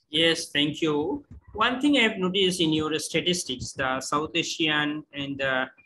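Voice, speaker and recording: A man with a Bengali accent, fairly high in pitch, lively in intonation and fairly slow, over light background noise. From Bangladesh. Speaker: course participant. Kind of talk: Q&A question. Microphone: video call.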